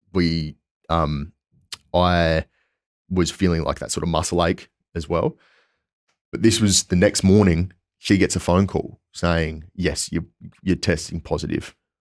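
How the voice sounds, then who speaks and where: A man with an Australian accent speaks at a fairly slow pace in a very deep, low voice, with fairly even intonation and long, frequent pauses. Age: 20s. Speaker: PhD student. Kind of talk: casual interview. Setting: in person.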